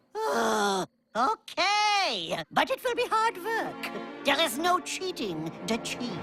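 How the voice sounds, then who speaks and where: Performing a cartoonish character voice, a woman speaks at an extremely high pitch and a very slow pace while faint music plays in the background. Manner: blunt, gruff.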